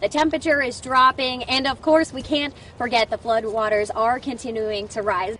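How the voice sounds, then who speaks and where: Over noticeable background noise, a woman with an American accent talks at a moderate pace in a high pitch with ordinary pitch variation. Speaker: TV news reporter and anchor. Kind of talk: broadcast TV news reporting, live field report. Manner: polished, brisk news delivery.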